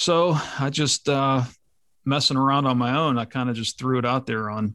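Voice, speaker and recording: A man's medium-pitched voice, bright and sharp in tone, at a fairly slow pace over a quiet background. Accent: American. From western Pennsylvania, US. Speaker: police officer and landowner. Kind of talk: casual interview conversation.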